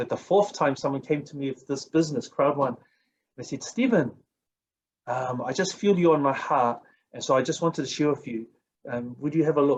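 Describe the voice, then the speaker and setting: A man speaks at a fairly quick pace in a fairly high pitch, with ordinary pitch variation and long, frequent pauses. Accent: New Zealand. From New Zealand. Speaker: network marketing coach. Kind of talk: motivational talk. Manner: animated.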